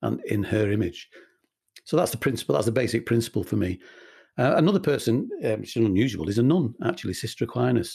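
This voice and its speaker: Over a quiet background, a man talks at a fairly quick pace in a somewhat breathy, dark, mellow tone at a medium pitch. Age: 60s. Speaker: radio presenter and charity chief executive. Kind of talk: casual interview chat.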